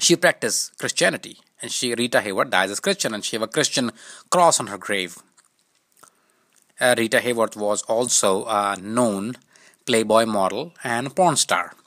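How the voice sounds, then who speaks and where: A man with a non-native accent at medium pitch, bright, sharp in tone, at a moderate pace with ordinary pitch variation, long, frequent pauses, and a dry, close sound with no echo. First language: not English. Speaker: YouTube commentator. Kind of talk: casual commentary. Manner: halting.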